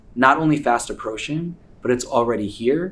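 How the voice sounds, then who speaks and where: A man speaks at a fairly quick pace, with audible room echo around him. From US, New York. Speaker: tech entrepreneur speaker. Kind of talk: conference talk. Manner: fast; animated.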